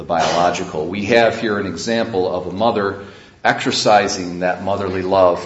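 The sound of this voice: The reading comes in an unforced reading voice.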